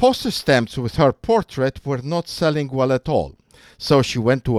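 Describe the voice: The clip is plain reading aloud. Nothing more stands out.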